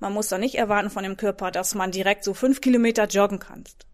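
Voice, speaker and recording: Over a very clean, silent background, a woman with a Dutch accent talks at medium pitch with fairly even intonation. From Netherlands. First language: Dutch (speaking German). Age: 40s. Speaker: fitness trainer. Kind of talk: casual interview.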